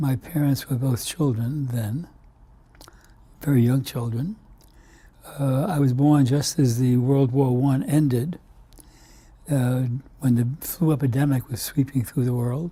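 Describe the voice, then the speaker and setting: A man with an American accent speaks fairly slowly at a medium pitch, his tone dark and mellow, somewhat breathy, with fairly even intonation and long, frequent pauses. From US Northeast, Brooklyn, New York. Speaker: immunologist, scientist. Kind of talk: oral history interview. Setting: recorded interview. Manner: halting, many fillers.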